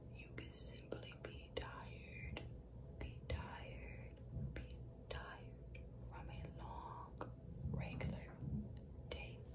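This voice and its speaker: A woman's very slow speech broken by long, frequent pauses, under loud background noise. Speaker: ASMR creator. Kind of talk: ASMR positive affirmations for sleep. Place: bathroom. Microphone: phone near.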